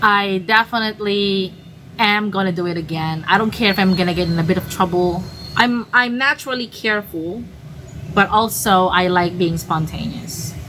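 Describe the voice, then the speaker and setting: There's noticeable background noise as a woman talks at a moderate pace, medium in pitch with ordinary pitch variation. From Philippines. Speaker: travel vlogger. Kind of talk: casual storytelling monologue. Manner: hesitant, many fillers and restarts.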